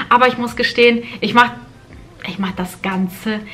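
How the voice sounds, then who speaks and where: With noticeable background noise behind her, a woman speaks at a moderate pace, her pitch fairly high and its variation ordinary. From Germany (moved from Kazakhstan at age four). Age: 30s. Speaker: lifestyle vlogger. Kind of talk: casual vlog talk to camera. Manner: hesitant, with fillers and repetitions.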